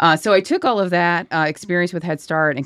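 Fairly quick and fairly even in intonation, a woman with an American accent speaks at a fairly low pitch in a dry, close recording with no echo, very clean against a silent background. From Virginia, small town. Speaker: executive director of a government data center. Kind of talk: interview conversation. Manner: halting, with fillers and restarts.

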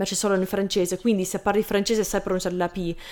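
A woman speaks with monotone, flat intonation. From Canada, Lebanese family. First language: English (speaking Italian). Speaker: Italian learner, YouTuber. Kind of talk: interview. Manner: halting.

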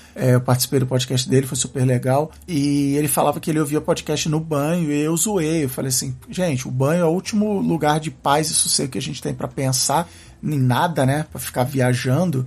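A man with a fairly high voice talks at a fairly quick pace, with hardly any pauses and ordinary pitch variation. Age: 40s. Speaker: podcaster. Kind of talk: casual chat. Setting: coworking office. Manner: halting.

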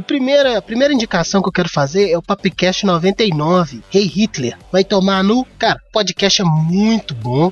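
A high-pitched man speaks at a moderate pace, the sound dry and close with no echo, against noticeable background noise. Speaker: podcast co-host. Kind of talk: casual chat.

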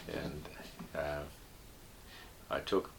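A man with a New Zealand accent speaks at a very slow pace. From New Zealand, Northland. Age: 70s. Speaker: retired air force and aviation engineer. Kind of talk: interview, casual reminiscence. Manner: hesitant, with frequent fillers.

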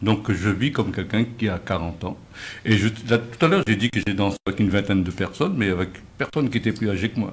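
A man speaks somewhat breathily at a fairly low pitch. He talks at a fairly quick pace, with ordinary pitch variation. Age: old. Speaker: retired postman. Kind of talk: radio panel discussion.

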